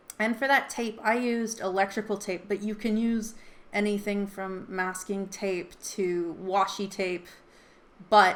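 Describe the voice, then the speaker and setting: A woman speaks in a plain, everyday voice at a medium pitch. Her intonation stays fairly even. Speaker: artist teaching an art challenge. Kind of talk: tutorial. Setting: home.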